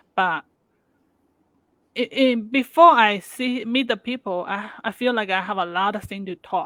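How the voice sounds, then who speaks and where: Using a non-native accent, a woman speaks at a fairly slow pace and a fairly high pitch, with ordinary pitch variation and long, frequent pauses. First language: not English. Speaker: interviewer. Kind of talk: interview. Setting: live video stream. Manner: halting, repeats words.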